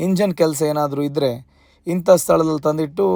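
This man has a plain, everyday voice with a fairly high pitch. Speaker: food and travel vlogger. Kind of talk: travel vlog narration.

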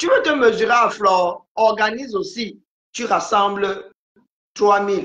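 Against a quiet background with audible room echo, a woman speaks very slowly at a fairly high pitch with lively intonation. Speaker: live-stream commentator. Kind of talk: casual live-stream chat. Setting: video call. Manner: calm. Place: home room. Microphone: phone near.

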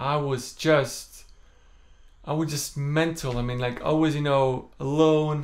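A man speaks with an Estonian accent. His pace is very slow and his intonation fairly even. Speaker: singer. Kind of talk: casual talk to camera. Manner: calm, low-energy; stammers at times. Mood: open, reflective, slightly self-deprecating. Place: home room. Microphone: phone near.

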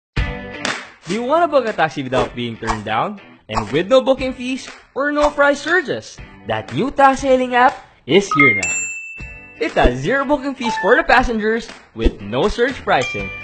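With music playing in the background, a man speaks at a moderate pace. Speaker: voice actor. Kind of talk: TV commercial read.

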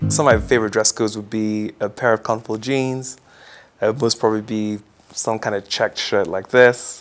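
Over music in the background, a man with a fairly low pitch talks at a fairly quick pace with fairly even intonation. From Kenya (Nairobi), Ugandan family. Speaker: business executive. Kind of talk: interview answers, casual. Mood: relaxed, friendly. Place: home room. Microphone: lapel.

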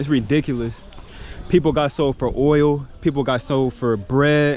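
Over light background noise, a man talks at a moderate pace with a dry sound and no echo. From United States. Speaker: travel vlogger. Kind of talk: vlog narration. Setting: outdoors. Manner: animated. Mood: reflective, indignant at times. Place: beach. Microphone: phone near.

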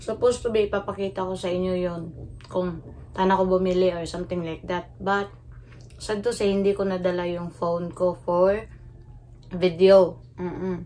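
The voice has a dark, mellow tone and monotone, flat intonation, delivered at a moderate pace. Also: woman. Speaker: food vlogger. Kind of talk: casual vlog chat. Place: home room. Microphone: phone near.

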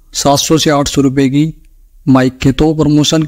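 The voice has a dark, mellow tone and a monotone, flat intonation, moving at a moderate pace over a quiet background. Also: man. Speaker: tech YouTuber. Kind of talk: tutorial.

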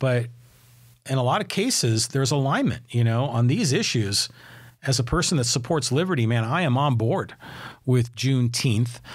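This man has an American accent and a somewhat breathy voice. He talks at a fairly quick pace with ordinary pitch variation over a quiet background. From San Francisco Bay Area, California; California. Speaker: podcast host. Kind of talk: solo commentary podcast; podcast commentary. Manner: conversational, with fillers. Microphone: studio mic.

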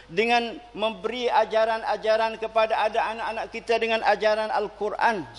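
Extremely high pitch from a man at a fairly slow pace. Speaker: preacher. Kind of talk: sermon. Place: church. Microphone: podium.

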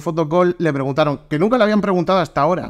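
Animated in tone, a man speaks at a high pitch. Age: 20s. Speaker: podcast host. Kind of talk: casual chat.

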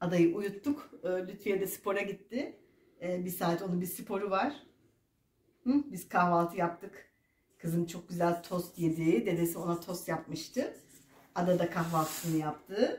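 A somewhat breathy voice at a fairly slow pace, with ordinary pitch variation and audible room echo. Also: woman, fairly low pitch for a woman. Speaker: grandmother vlogger. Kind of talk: casual vlog chat. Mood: warm, cheerful. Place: home room. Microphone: camera far.

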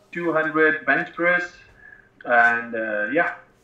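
Audible room echo hangs around this voice. It belongs to a man. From northern Pakistan. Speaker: professional MMA fighter and personal trainer; personal trainer. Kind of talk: interview. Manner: halting. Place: home room. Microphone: earbuds.

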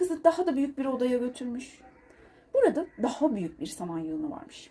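At a fairly quick pace, a woman speaks high in pitch with big swings, her dark, mellow tone carrying a slightly husky edge.

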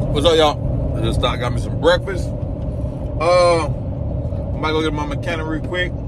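A man's voice against loud background noise, dry with no echo. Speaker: truck driver vlogger. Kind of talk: casual vlog chat. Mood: relaxed, easygoing. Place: car. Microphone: phone near.

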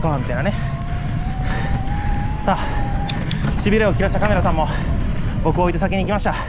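A man talks at a very fast pace amid noticeable background noise. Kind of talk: casual commentary while riding. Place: bicycle. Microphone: phone near.

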